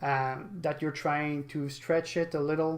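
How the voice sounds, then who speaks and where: A man speaks fairly slowly in a flat, monotone way, his pitch fairly high, with a non-native accent. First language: not English. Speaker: gaming streamer. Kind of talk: live stream reaction commentary. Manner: halting.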